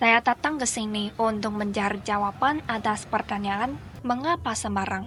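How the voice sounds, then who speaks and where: The speaker talks at a moderate pace with a Chinese accent. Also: woman, fairly high pitch for a woman, ordinary pitch variation. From China. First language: Chinese (speaking Indonesian). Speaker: student documentary narrator. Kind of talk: scripted narration. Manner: formal.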